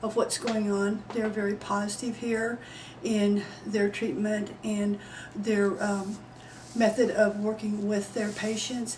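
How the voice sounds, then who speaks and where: A woman in an American accent, fairly high-pitched and monotone with flat intonation, at a very slow pace amid noticeable background noise and audible room echo. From Texas. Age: 60s. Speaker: patient. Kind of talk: testimony.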